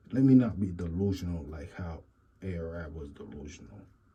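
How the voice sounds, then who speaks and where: A man's very deep, low voice, dark and mellow in tone and somewhat breathy. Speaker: YouTube commentator. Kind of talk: casual commentary monologue.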